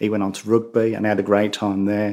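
A man with a Birmingham accent talks at a fairly quick pace in a dark, mellow tone. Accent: Brummie. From Birmingham, England. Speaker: bereaved father. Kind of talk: interview. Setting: host's home.

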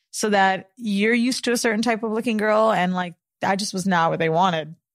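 Speaking at a fairly quick pace with fairly even intonation, a woman with an American accent has an unremarkable speaking voice on a very clean recording with a silent background. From Florida. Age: 30s. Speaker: podcast co-host. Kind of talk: casual chat.

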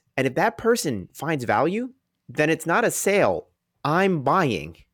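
A man's high voice with very wide pitch swings, in a very clean recording with a silent background. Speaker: real estate investor. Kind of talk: interview conversation. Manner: fast.

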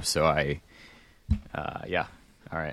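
A man at a moderate pace in a very clean recording with a silent background. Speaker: racing podcast host. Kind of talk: casual chat. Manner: loud.

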